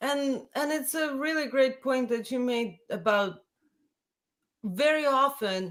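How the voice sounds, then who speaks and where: With a Russian accent, a woman speaks very slowly in a high pitch with ordinary pitch variation. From Latvia. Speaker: folk singer. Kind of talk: casual chat.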